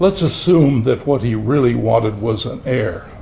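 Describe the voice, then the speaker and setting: A man talks at a moderate pace with lively intonation. Noticeable background noise is heard. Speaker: retired criminology professor. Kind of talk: speech at a commemorative luncheon. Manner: halting.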